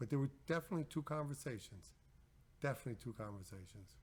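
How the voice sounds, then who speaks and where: A man with an American accent talks very fast at medium pitch, somewhat breathy, with lively intonation. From Long Island, New York. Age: 60s. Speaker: business owner. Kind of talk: interview. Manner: repetitive, halting.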